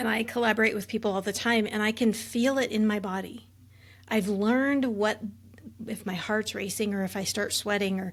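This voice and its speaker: A somewhat breathy voice at a moderate pace with fairly even intonation, on a very clean recording with a silent background. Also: woman. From Alaska, Juneau. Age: 50s. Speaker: military veteran and trauma coach. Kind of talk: interview.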